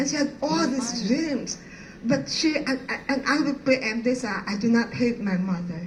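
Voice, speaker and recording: A woman with a Filipino accent speaks at a moderate pace in a high voice with ordinary pitch variation, her words carrying audible room echo over noticeable background noise. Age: 60s. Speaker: art professor. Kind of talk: personal testimony talk. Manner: halting.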